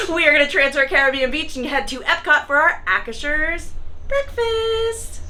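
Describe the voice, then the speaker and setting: Over noticeable background noise, a raised, projected voice moves at a moderate pace with very wide pitch swings. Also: woman, high pitch for a woman. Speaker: family vlogger. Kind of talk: vlog narration. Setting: cable car ride.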